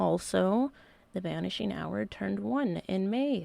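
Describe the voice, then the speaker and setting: Very clean recording of a woman, silent background. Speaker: podcast host. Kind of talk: casual podcast talk.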